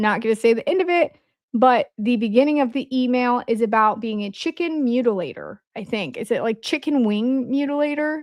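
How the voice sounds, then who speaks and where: A woman speaks with an Indiana accent, high in pitch with ordinary pitch variation. Her recording is very clean, with a silent background. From Indiana, US Midwest. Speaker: podcast host. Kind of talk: casual livestream commentary. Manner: conversational, hesitant with fillers.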